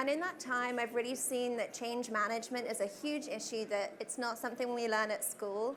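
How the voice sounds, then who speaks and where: A woman with a British accent has a fairly high pitch and ordinary pitch variation. She speaks at a moderate pace, with audible room echo. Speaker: customer success manager presenting at a tech conference. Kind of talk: conference talk.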